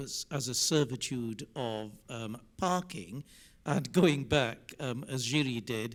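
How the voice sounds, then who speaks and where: With ordinary pitch variation, a man has an ordinary speaking voice at a medium pitch. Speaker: lawyer, conference panelist. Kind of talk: panel discussion comment. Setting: conference room with online audience.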